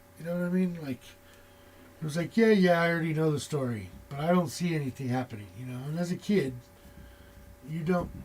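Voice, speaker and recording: A man talks in a high register. The pitch variation is ordinary. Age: 40s. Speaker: tarot reader. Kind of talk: casual chat. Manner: casual, with many fillers.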